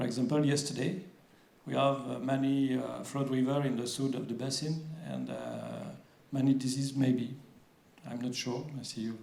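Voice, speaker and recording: A man with a French accent at a medium pitch, speaking at a moderate pace with fairly even intonation and long, frequent pauses, in a room with audible echo. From France. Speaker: water agency official. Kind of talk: conference presentation. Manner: halting, many fillers.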